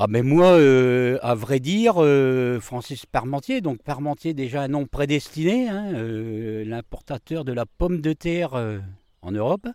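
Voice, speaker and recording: In a very clean recording with a silent background, a man with a fairly high pitch and a dark, mellow tone speaks very slowly with lively intonation. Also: dry, close sound with no echo. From northern France, Amiens area (Picardy). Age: 50s. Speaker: market gardener. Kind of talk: interview. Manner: halting, many hesitations.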